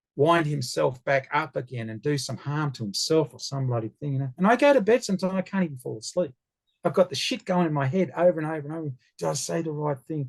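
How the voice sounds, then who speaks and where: Very fast pace, lively intonation and an Australian accent. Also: man, fairly high pitch for a man. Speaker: founder of an online legal-rights community. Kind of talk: casual interview chat. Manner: loud.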